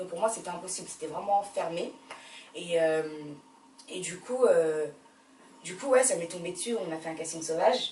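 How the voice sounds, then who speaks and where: Over noticeable background noise and audible room echo, a woman with a fairly low pitch and ordinary pitch variation talks at a moderate pace, with long, frequent pauses and big swings in loudness. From France, Paris. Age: 20s. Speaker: actress. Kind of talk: interview.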